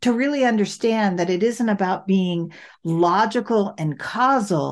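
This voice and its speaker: A woman's plain, everyday voice at medium pitch, with lively intonation, a fairly slow pace and a quiet background. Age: 60s. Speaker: podcast host, affordable housing work. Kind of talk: casual chat.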